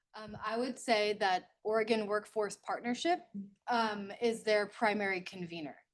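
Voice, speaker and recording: A woman at a moderate pace with a fairly high pitch, ordinary pitch variation and big swings in loudness. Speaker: workforce program coordinator. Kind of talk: public meeting discussion. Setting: meeting room with online participants.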